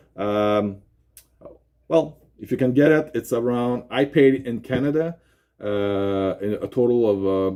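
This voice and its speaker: A man with a Quebec accent speaks at a medium pitch and fairly slow pace, his tone dark and mellow, with ordinary pitch variation. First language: French. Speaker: YouTube unboxing presenter. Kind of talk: product unboxing presentation. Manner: halting, many fillers.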